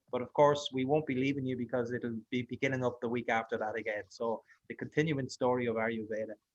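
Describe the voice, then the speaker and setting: A man talks at a fairly quick pace with an Irish accent. The sound is dry and close, with no echo. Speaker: online course host. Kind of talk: online class wrap-up.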